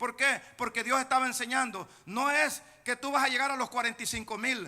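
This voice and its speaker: A man speaks in a raised, projected voice at an extremely high pitch, bright and sharp in tone. His pace is moderate and his intonation fairly even. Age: 60s. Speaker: pastor. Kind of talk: sermon.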